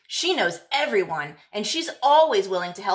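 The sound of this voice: The reading here is done in an unforced voice.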